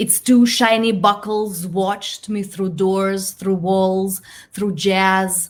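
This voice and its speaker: Speaking very slowly in a monotone, flat delivery, a woman with a Belarusian accent holds a medium pitch. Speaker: poet. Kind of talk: poetry reading.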